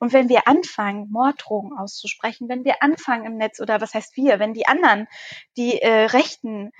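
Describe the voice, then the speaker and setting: A woman speaks at a moderate pace in a fairly high pitch with ordinary pitch variation, the sound dry and close with no echo. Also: big swings in loudness. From northern Germany, Schaumburger Land. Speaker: politician. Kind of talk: casual interview. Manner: hesitant, many fillers.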